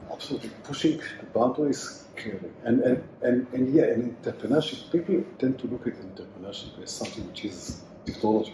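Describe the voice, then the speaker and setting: Speech comes at a fairly quick pace with ordinary pitch variation and big swings in loudness. Noticeable background noise is present. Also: man, medium pitch for a man. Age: 60s. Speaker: entrepreneur and venture capitalist. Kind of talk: casual interview conversation. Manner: halting, many repetitions and fillers.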